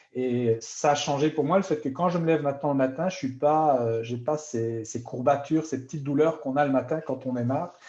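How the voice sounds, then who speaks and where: A man with a medium pitch speaks at a fairly quick pace in a dark, mellow tone that is somewhat breathy. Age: 50s. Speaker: product user testimonial. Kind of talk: sales pitch. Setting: live stream.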